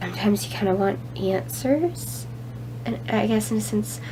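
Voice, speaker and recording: A woman speaks at a moderate pace. Noticeable background noise sits behind her. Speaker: chronic illness vlogger. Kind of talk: casual talk to camera.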